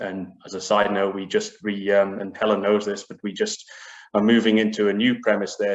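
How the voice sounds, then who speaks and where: At a moderate pace, a man with a fairly low voice speaks with a British accent. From UK. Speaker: biotech business executive. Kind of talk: panel discussion.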